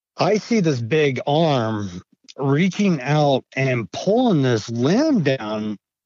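An American accent with very wide pitch swings, a very slow pace and very even loudness. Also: man, fairly high pitch for a man. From Idaho. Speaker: retired navy veteran, witness. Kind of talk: interview storytelling.

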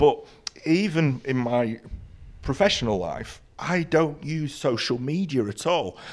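Lively intonation runs through this man's fairly high voice. He speaks at a very slow pace. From Ireland. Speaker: photographer. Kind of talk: casual chat. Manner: halting.

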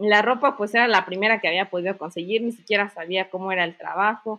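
A woman with a plain, everyday voice at a moderate pace and fairly even intonation. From Mexico, Chiapas (Comitán). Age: 20s. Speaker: university student and entrepreneur. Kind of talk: casual interview chat.

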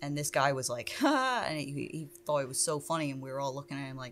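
Using a very deep, low voice, a woman with an American accent speaks at a fairly quick pace with fairly even intonation. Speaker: tattoo artist. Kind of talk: casual chat.

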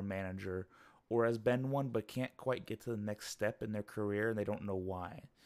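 This man has a fairly low pitch and an ordinary speaking voice, with fairly even intonation at a moderate pace. The recording is very clean, with a silent background. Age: 20s. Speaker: management consultant and podcaster. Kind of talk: solo monologue. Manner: casual.

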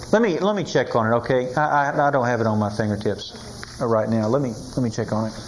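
Speaking at a very fast pace, a man with a medium-pitched voice and ordinary pitch variation is heard over noticeable background noise. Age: 80s+. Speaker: Bible teacher. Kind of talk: sermon. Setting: stage with audience.

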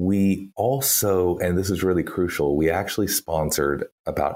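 A man with a Texan accent and a very deep, low pitch. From Texas. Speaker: PR strategist.

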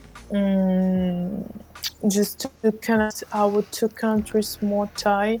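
Over noticeable background noise, a woman speaks very slowly at a medium pitch with a monotone, flat intonation. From Ukraine, Donbas. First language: Ukrainian or Russian. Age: 20s. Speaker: seasonal farm worker. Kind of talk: interview. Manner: halting, many hesitations.

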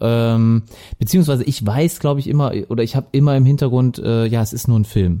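A man with a Lower Rhine accent speaks at a fairly quick pace. His tone is dark and mellow, with ordinary pitch variation. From Lower Rhine, Germany (Viersen). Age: 30s. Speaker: podcast co-host. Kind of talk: casual chat.

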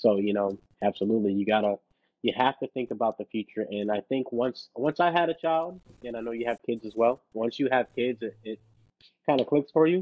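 In an ordinary speaking voice, a man at medium pitch talks at a fairly quick pace with ordinary pitch variation. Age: 30s. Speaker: financial coach and rapper. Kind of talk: casual interview chat.

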